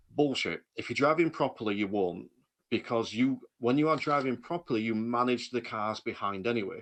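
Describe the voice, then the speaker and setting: A man talks in an animated tone at a moderate pace, with medium pitch and ordinary pitch variation. The background is quiet. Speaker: driving instructor. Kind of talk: casual chat. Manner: animated, ranty.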